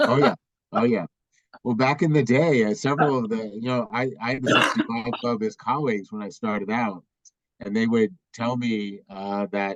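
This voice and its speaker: Speaking at medium pitch, a man keeps a moderate pace with ordinary pitch variation. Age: 60s. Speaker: law school dean. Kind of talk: virtual town hall Q&A. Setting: video call. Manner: halting, many fillers.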